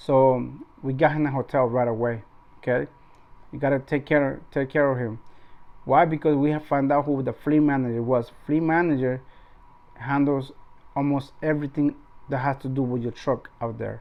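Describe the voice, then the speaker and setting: A man with a non-native accent, fairly high-pitched, at a moderate pace, in a monotone, flat delivery broken by long, frequent pauses. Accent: non-native English accent, noticeable. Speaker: truck driver and YouTuber. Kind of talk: casual vlog talk. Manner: halting, many repetitions.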